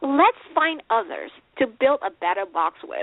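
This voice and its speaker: Very wide pitch swings at a moderate pace. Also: woman. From Malaysia. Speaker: life coach. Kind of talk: interview. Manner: hesitant fillers.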